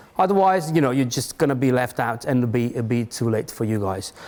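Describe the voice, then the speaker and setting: A man with a non-native accent speaks at a fairly quick pace with lively intonation. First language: not English. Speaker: tech company industry manager, conference speaker. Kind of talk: conference talk. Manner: halting, many restarts.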